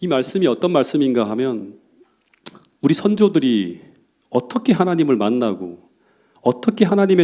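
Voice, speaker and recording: A man's fairly high voice with a dark, mellow tone and very wide pitch swings. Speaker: pastor. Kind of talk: sermon. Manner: fast.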